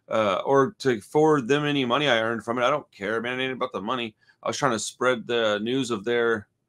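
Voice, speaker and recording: The speaker is a man talking at a fairly quick pace. His pitch varies in an ordinary way. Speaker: horror news streamer. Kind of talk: casual commentary. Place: home room. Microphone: earbuds.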